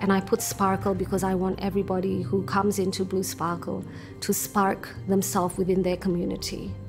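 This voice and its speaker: A woman at a fairly quick pace with ordinary pitch variation, clear music playing in the background. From Sydney, Australia (until 14), Indonesian family. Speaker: university lecturer, English teacher. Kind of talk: interview answer. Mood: reflective, earnest. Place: home room. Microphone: lapel.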